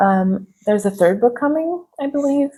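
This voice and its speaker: A woman with a non-native accent speaks at a fairly slow pace. Her tone is dark and mellow, with lively intonation. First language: not English. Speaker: booktuber. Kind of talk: casual vlog book review. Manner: casual, filler-heavy with frequent ums.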